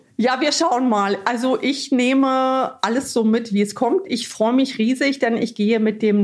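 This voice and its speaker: Her pitch is high, and this woman's voice shows ordinary pitch variation. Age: 40s. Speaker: nurse and garden influencer. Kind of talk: casual interview chat.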